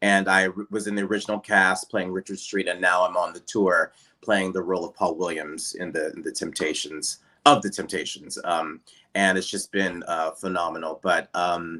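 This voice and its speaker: The tone is bright and sharp, with a Pittsburgh accent. The pace is moderate. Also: man, very deep, low pitch for a man, fairly even intonation. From Pittsburgh, Pennsylvania (Rankin-Swissvale). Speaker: Broadway and TV actor. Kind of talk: casual interview chat.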